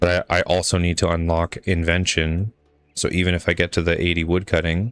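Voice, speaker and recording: Fairly quick, flat monotone delivery in a dry, close sound with no echo, on a very clean recording with a silent background. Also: man, very deep, low pitch for a man, very even loudness. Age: 30s. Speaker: video game streamer. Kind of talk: casual live stream gameplay chat. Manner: casual, rambling with fillers and repeats.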